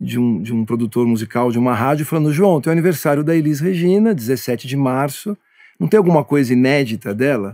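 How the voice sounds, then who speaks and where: Against a quiet background, a man speaks at a fairly quick pace with lively intonation, a dark, mellow tone and a fairly high pitch. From Brazil. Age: 50s. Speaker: music producer; guest. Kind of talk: interview monologue. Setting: studio. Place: studio.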